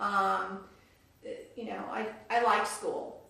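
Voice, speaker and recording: A woman speaks with an American accent. Noticeable background noise and audible room echo are present. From US South, Houston and New Orleans. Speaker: retired dental hygienist. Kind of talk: oral history interview.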